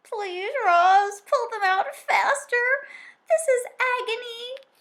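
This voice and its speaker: The speaker uses a put-on character voice. Every word comes very slowly. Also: woman, extremely high pitch for a woman. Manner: speaking through gritted teeth, pleading.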